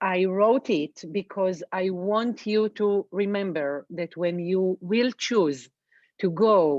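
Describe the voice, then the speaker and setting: With an Israeli accent, a woman speaks at a very slow pace in a medium pitch with ordinary pitch variation. The sound is dry and close with no echo, over a quiet background. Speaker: reflexologist. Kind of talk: webinar presentation. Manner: halting, with fillers.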